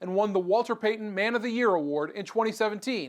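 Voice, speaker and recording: High-pitched man at a fairly quick pace. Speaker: sports and news broadcaster. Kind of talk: sports news broadcast.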